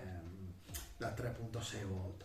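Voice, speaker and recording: A man's voice moves with ordinary pitch variation while noticeable background noise carries on behind it. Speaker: electric skateboard reviewer. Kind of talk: product review talk to camera.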